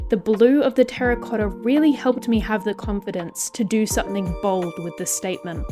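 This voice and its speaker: Over music in the background, a woman speaks at a fairly quick pace with hardly any pauses, her fairly high pitch showing ordinary variation. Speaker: Minecraft builder and video creator. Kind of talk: casual commentary over gameplay.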